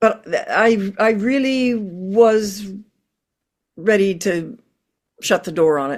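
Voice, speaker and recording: A woman at a very slow pace. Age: 80s+. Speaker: opera singer. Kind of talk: interview. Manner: halting.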